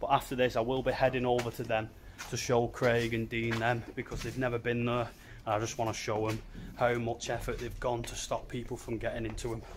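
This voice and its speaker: With light background noise behind him, a man talks fairly quickly in a somewhat breathy voice with flat, monotone intonation. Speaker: urban explorer vlogger. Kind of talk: casual vlog chat. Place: factory. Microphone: phone near.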